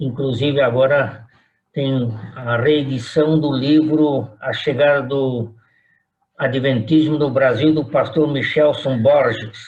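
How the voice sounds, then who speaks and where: A man speaks at a very slow pace in a fairly high pitch. His voice is somewhat breathy, with fairly even intonation. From Brazil, São Paulo. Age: 80s+. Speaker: retired pastor. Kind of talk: oral history interview.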